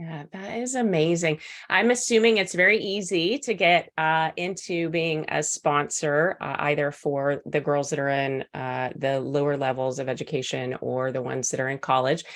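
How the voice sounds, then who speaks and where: In a Texas accent, a woman with a very deep, low pitch talks at a moderate pace with lively intonation and hardly any pauses. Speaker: podcast host. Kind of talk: podcast interview.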